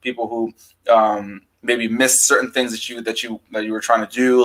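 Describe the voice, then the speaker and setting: Very fast and monotone, a man talks at a medium pitch with flat intonation. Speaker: YouTube movie reviewer. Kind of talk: casual chat. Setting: live stream with guest. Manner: stutters over words at times.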